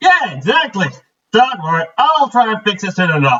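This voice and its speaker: Someone puts on a character voice, raised and projected, with very wide pitch swings. The pace stays moderate. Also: man, high pitch for a man. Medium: read story. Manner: warm, easygoing.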